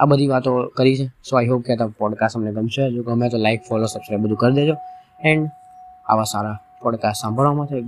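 A man talks at medium pitch with ordinary pitch variation. Background music is audible. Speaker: podcast host. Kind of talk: solo podcast monologue.

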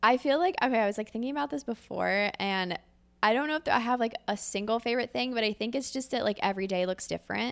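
A woman with an American accent, fairly high in pitch with ordinary pitch variation, at a very fast pace on a very clean recording with a silent background. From Philadelphia, Pennsylvania. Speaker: operations director at a creative agency. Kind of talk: casual interview chat.

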